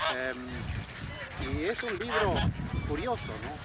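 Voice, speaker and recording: Over loud background noise, a man is heard in a dry sound with no echo. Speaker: poet. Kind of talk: casual introduction to a poetry reading. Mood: relaxed, conversational. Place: waterside.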